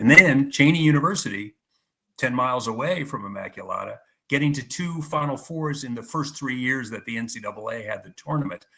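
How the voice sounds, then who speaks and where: Big swings in loudness mark a man's bright, sharp tone. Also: ordinary pitch variation, fairly quick pace. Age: 60s. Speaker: sports writer. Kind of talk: interview. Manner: halting, many repetitions.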